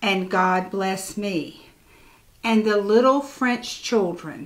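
The delivery is very slow, sing-song and lively in intonation. Its tone is gentle and soothing. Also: woman. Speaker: church storyteller. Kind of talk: bedtime story reading aloud to children, rhyming picture book. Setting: video recording for church channel. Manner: gentle, slow, soothing sing-song cadence; warm and playful, lightly animated. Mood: gentle, expressive. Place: home room. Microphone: lapel.

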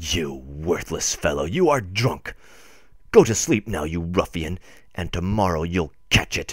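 A man speaks in a put-on character voice, his pitch very deep and low. He talks at a fairly slow pace with ordinary pitch variation. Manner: barely audible, low.

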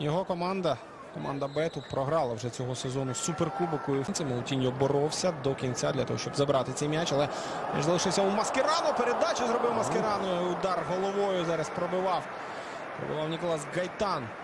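Noticeable background noise sits behind a man with fairly high pitch. He talks at a fairly quick pace with lively intonation. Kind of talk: live football commentary, analytical play-by-play. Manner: measured, conversational, hesitant with filler sounds.

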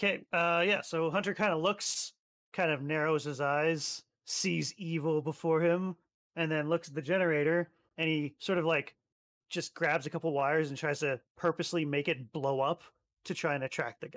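A man at a fairly high pitch and moderate pace, in a dry, close sound with no echo, on a very clean recording with a silent background. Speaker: tabletop RPG player. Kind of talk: tabletop roleplaying game session. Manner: animated.

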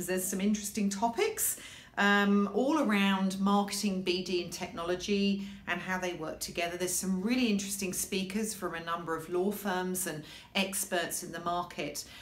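A woman talks at a moderate pace. Audible room echo is present. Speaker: legal marketing professional. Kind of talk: casual talk to camera. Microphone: webcam.

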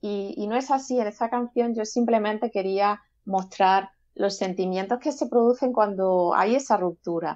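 Fairly high in pitch with ordinary variation, this woman has a normal speaking voice. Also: fairly slow pace. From Seville, southern Spain. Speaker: gospel singer-songwriter. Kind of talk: interview.

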